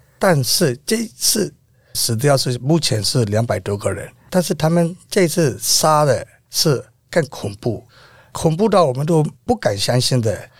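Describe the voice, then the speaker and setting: Speaking at a fairly slow pace, a man with a fairly high, somewhat breathy voice makes very wide pitch swings. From Myanmar. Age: 50s. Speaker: protest organizer and renovation contractor. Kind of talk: interview.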